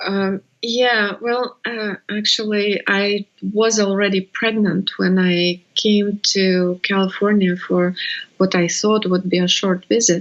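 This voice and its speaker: A woman speaks very slowly with a Russian accent, her medium-pitched voice held in a monotone, flat intonation. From Russia (Siberia). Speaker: birth educator. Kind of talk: interview. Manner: halting.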